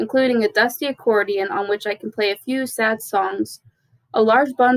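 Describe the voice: The passage is read aloud plainly. Behind it, things are quiet.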